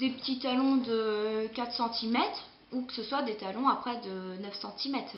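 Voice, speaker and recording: Amid noticeable background noise and audible room echo, a woman with a fairly high pitch talks at a fairly slow pace with ordinary pitch variation. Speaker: beauty vlogger. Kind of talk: casual vlog monologue. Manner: hesitant, many fillers.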